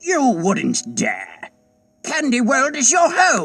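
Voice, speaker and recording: In a put-on character voice, a man speaks very slowly at an extremely high pitch, with very wide pitch swings. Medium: machinima. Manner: haughty, indignant.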